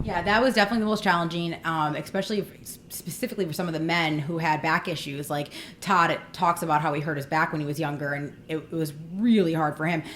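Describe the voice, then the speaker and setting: A woman with a fairly low pitch talks at a very fast pace, her pitch varying in an ordinary way. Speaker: fitness reality show contestant. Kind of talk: interview. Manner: loud.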